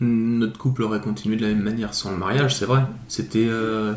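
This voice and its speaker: Speaking at medium pitch, a man keeps a moderate pace. His pitch variation is ordinary. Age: 30s. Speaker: nurse, groom. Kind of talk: casual interview. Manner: hesitant, many fillers.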